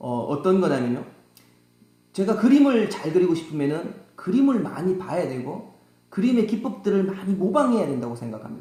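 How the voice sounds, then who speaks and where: A man speaks in a high voice with a strong Gyeongsang accent. His pitch swings very widely, and the room echo is audible. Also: moderate pace. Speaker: saxophone teacher. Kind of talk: tutorial. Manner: halting, many fillers.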